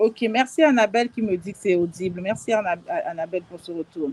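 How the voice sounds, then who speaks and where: A woman speaks at medium pitch with ordinary pitch variation. Her voice is somewhat breathy, with a dry, close sound and no echo. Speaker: life and business coach. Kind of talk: live stream talk. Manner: hesitant, many fillers.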